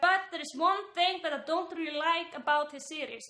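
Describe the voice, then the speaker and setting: A woman with a non-native accent speaks at an extremely high pitch with ordinary pitch variation. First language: not English. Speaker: YouTuber commentator. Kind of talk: casual vlog commentary. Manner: animated, filler-heavy.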